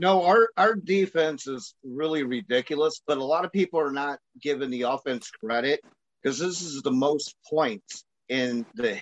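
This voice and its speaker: A plain, everyday voice from a man with an American accent, fairly high in pitch, fairly slow, with lively intonation. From Chicago, US Midwest. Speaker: podcast host. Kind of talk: casual chat. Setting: phone call.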